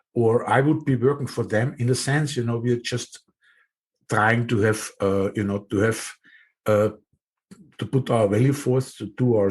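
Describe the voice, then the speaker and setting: With fairly even intonation, this man's somewhat breathy voice carries his words. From Austria. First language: German. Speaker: podcast host. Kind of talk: interview conversation. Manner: hesitant, many fillers.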